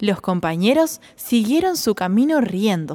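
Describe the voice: Plain reading aloud makes up the recording.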